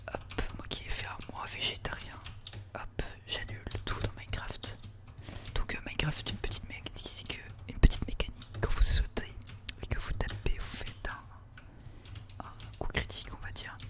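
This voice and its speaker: Over noticeable background noise, someone whispers at a moderate pace, with long pauses coming often. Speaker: ASMR gaming creator. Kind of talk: ASMR let's play commentary. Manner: whispered, soft-spoken.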